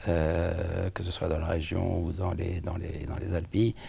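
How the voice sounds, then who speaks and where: Using a very deep, low pitch, a man speaks at a fairly slow pace. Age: 70s. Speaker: patient with cardiac amyloidosis. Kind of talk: interview testimony. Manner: halting, many hesitations.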